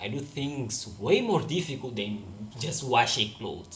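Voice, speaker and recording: A man with a Portuguese accent speaks at a moderate pace and a medium pitch, somewhat breathy. His intonation is lively, and audible room echo surrounds him. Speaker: forex trader. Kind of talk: live stream casual chat. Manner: halting.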